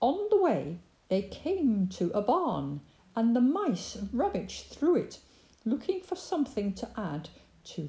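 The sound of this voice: A reading voice that sounds unforced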